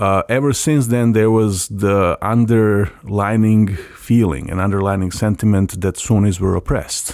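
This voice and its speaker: Hardly pausing, a man with a Serbian accent speaks at a fairly slow pace with a fairly low pitch and fairly even intonation. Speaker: democracy NGO program director. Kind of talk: interview.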